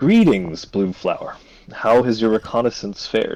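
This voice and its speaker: In a put-on character voice, a man booms at medium pitch and a moderate pace. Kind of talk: elegant, formal.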